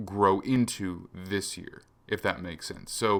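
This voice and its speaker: The recording is very clean, and the background is silent. A plain, everyday voice goes at a fairly slow pace with ordinary pitch variation. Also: man. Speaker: football analyst podcast host. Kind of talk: solo analysis commentary. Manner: casual with fillers.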